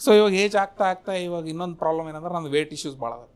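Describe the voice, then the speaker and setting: In a North Karnataka accent, a man speaks at a high pitch on a very clean recording with a silent background. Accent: North Karnataka Kannada. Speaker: stand-up comedian. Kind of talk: stand-up comedy set.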